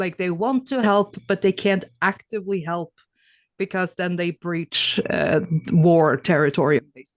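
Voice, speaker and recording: With lively intonation, a woman speaks in an unremarkable speaking voice. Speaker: interview guest. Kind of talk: casual chat.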